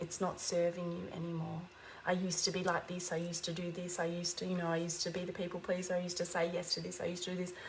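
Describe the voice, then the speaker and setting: Speaking at a very fast pace in a somewhat breathy, fairly low voice, a woman keeps a monotone, flat intonation amid audible room echo. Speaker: spiritual teacher livestreamer. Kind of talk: inspirational livestream talk. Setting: livestream.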